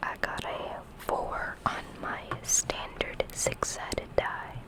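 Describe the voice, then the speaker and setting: Very slow whispering comes through over noticeable background noise. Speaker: ASMR creator playing a doctor. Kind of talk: ASMR hospital role play, soft-spoken whisper. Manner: casual, soft-spoken, counting dice results.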